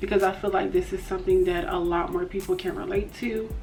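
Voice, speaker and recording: A woman talks at a moderate pace. Music plays in the background, and the room echo is audible. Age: 20s. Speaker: beauty and lifestyle vlogger. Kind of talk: casual chat. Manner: hesitant, many fillers.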